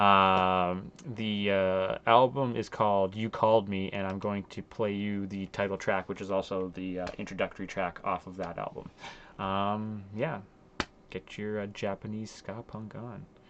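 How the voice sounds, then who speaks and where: With a Canadian accent, a man talks in a fairly low pitch and a monotone, flat intonation. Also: fairly slow pace. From Canada, Ontario. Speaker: music reviewer streamer. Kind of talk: casual commentary. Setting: live stream. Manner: halting, many fillers.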